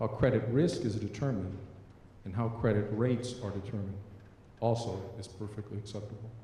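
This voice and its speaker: With audible room echo, a man talks at a fairly quick pace and fairly low pitch, his intonation fairly even. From US-raised, son of immigrants. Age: 40s. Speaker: member of the public. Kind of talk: public comment testimony. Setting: public meeting.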